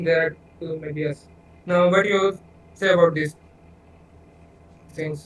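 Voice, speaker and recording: Noticeable background noise sits behind a man with a non-native accent and a high pitch. He speaks at a fairly slow pace in a monotone, flat way, with long, frequent pauses. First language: not English. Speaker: debater arguing for atheism. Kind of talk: online debate. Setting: voice chat call. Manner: halting.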